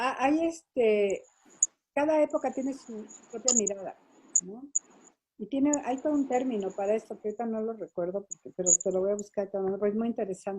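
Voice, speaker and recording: A woman with an unremarkable speaking voice talks at a fairly quick pace in a fairly high pitch. Her intonation is lively, with big swings in loudness. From Mexico City and Toluca. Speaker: photojournalist. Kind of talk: interview.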